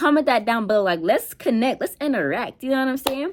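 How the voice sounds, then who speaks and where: Very clean recording, with a silent background. A woman speaks at a high pitch and a fairly quick pace, her intonation lively. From Georgia, US South. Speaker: YouTuber. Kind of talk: casual chat. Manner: casual, filler-heavy.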